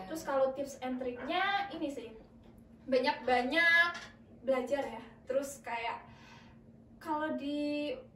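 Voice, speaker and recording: A woman speaks in a high pitch with ordinary pitch variation and long, frequent pauses. Room echo is audible. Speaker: student radio announcer. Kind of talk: casual podcast chat.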